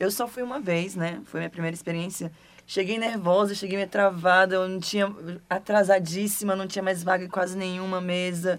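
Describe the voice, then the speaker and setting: Speaking at a moderate pace, a woman keeps a medium pitch and a monotone, flat intonation. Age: 20s. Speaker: role-playing gamer. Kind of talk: casual chat.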